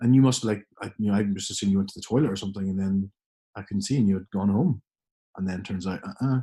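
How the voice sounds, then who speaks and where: A man speaks very fast in a fairly low voice with fairly even intonation. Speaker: podcast co-host. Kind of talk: casual podcast conversation.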